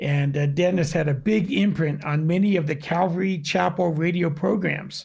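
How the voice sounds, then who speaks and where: Over a silent background in a very clean recording, a man with an unremarkable speaking voice talks at a moderate pace with fairly even intonation. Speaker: audio video producer. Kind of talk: casual chat.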